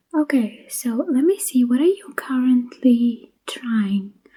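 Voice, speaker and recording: This soft-spoken voice has a gentle tone and moves at a very slow pace. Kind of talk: ASMR pharmacist roleplay, soft-spoken. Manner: soft-spoken, gentle, friendly.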